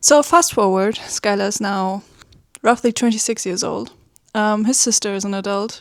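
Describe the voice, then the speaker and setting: With a German accent, a woman speaks at a moderate pace. Her voice is fairly high, with ordinary pitch variation. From Germany. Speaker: webcomic artist. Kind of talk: casual vlog talk. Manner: hesitant, many fillers.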